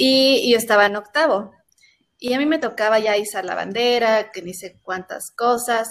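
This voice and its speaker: A woman with an unremarkable speaking voice talks at a moderate pace, her fairly high pitch moving in lively intonation. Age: 20s. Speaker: communication student and sports show presenter. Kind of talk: casual chat.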